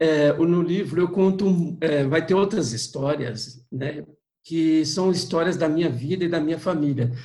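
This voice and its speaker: A man's voice with a dark, mellow tone, fairly high pitch, ordinary pitch variation and a fairly slow pace. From interior of São Paulo state, Brazil. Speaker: pilgrim and walking guide. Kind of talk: interview, personal storytelling.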